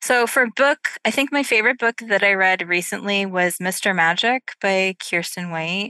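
A woman with an American accent, medium pitch, ordinary pitch variation and a bright, sharp tone at a moderate pace, in a dry, close recording with no echo and a quiet background. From upstate New York. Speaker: novelist. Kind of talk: casual interview chat. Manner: hesitant with many fillers.

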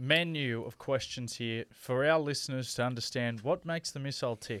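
A man with an Australian accent at a medium pitch, on a very clean recording with a silent background. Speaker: podcast co-host and radio personality. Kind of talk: casual chat.

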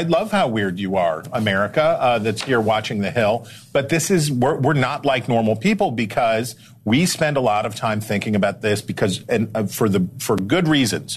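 A man talks at medium pitch and a moderate pace, his voice somewhat breathy. His intonation is lively and his loudness very even. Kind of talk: TV news panel discussion.

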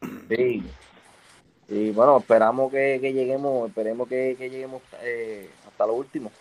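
This man has an ordinary speaking voice at a medium pitch. He talks at a fairly slow pace with fairly even intonation. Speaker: retired baseball pitcher. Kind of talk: casual chat.

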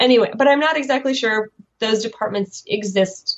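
A woman with a Chicago accent speaks at a moderate pace in a fairly high voice, her pitch varying in an ordinary way. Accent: American, Chicago. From US Midwest, Chicago (Soviet immigrant community). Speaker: graphic novelist and PhD student. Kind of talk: interview. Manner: hesitant, many fillers.

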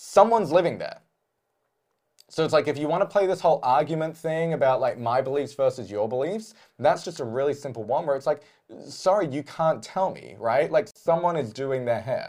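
With an Australian accent, a man talks at a fairly quick pace in a fairly high pitch, his intonation lively against a quiet background. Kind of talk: casual chat.

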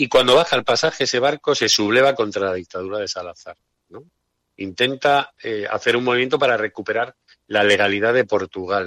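Dry and close with no echo, the recording captures a man at medium pitch with a bright, sharp tone. He talks at a fairly quick pace. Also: ordinary pitch variation. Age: 50s. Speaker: historical memory activist. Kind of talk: radio interview. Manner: halting.

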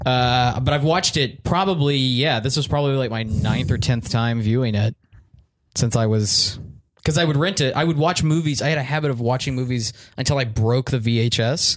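A man with an American accent and an ordinary speaking voice, medium pitch, ordinary pitch variation, very even loudness and a moderate pace. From Texas. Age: 20s. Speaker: comedian. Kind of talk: casual chat.

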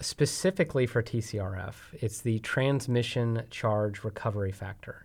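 In a very clean recording with a silent background, a man of medium pitch talks with hardly any pauses. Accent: American. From Texas. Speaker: energy company executive. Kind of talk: interview.

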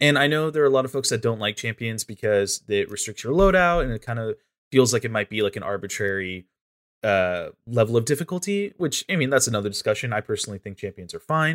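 Talking at a very fast pace, a man with a medium pitch swings his pitch very widely on a very clean recording with a silent background. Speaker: video game content creator. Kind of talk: casual podcast discussion. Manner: animated, enthusiastic.

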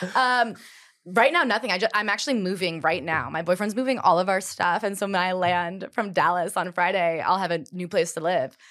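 A woman's fairly quick delivery with ordinary pitch variation. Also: medium pitch for a woman. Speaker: podcast host. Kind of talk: casual chat. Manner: fast talker.

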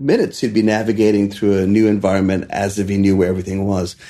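Talking at a very fast pace, a man has a dark, mellow tone and a fairly low pitch. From India, Maharashtra. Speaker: chef and restaurateur. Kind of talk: interview.

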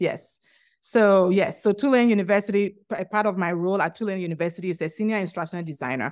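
A woman speaks very fast with a Ghanaian accent and a medium pitch. The recording is very clean, with a silent background. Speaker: instructional designer and educator. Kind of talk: interview conversation. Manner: laughs often, hesitant with restarts.

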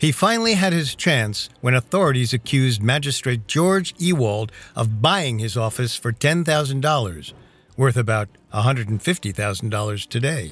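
This is a normal speaking voice. It moves at a fairly slow pace. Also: man, medium pitch for a man. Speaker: podcast host. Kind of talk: true-crime narration. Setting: studio. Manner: suspenseful, steady delivery.

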